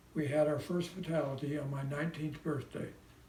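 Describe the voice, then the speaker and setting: A man with an American accent speaks at a moderate pace in a fairly high, monotone, flat voice. Room echo is audible, and there is noticeable background noise. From US Midwest, Indiana (South Bend). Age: 90s. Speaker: World War II veteran. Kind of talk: prepared personal message, read aloud.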